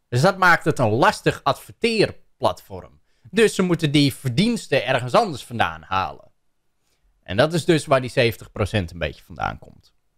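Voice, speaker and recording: Against a quiet background, a man with a fairly high pitch and vocal fry speaks at a fairly slow pace with very wide pitch swings. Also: big swings in loudness. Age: 30s. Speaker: YouTuber reacting to a video; content creator. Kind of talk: commentary on a video. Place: home room. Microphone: studio mic.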